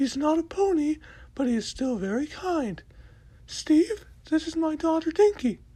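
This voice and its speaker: A put-on character voice, high and squeaky, speaks in a gentle tone at a moderate pace. Long, frequent pauses break up the delivery. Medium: read story. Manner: gentle, easily startled.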